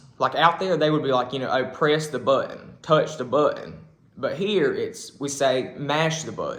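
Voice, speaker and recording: A man with a strong Southern US accent at a moderate pace. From South Carolina. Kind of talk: casual talk to camera.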